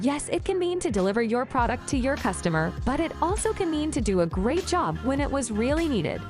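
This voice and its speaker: Music plays in the background as a woman talks at a fairly quick pace. Her pitch is high and swings very widely. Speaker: English teacher. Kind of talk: educational lesson to camera.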